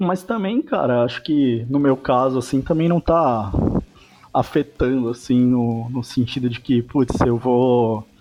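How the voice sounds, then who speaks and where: An ordinary speaking voice from a man, medium in pitch with ordinary pitch variation. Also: fairly slow pace. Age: 30s. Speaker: rock band guitarist. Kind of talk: casual interview chat.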